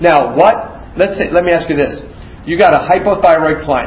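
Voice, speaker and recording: Against noticeable background noise and audible room echo, a man with an American accent talks with ordinary pitch variation. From US Midwest (Youngstown, Ohio). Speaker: nursing instructor. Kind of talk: lecture.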